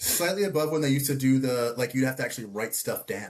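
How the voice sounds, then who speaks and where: In a Philadelphia accent, a man speaks very fast at a fairly high pitch with ordinary pitch variation. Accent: Philadelphia (Delco). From US, Delaware County, Pennsylvania. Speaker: podcast co-host. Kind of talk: casual chat.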